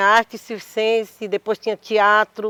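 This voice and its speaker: On a very clean recording with a silent background, a woman speaks at a fairly high pitch in a dry, close sound with no echo. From Mato Grosso, Cuiabá, Brazil. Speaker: poet and actress. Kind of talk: panel discussion.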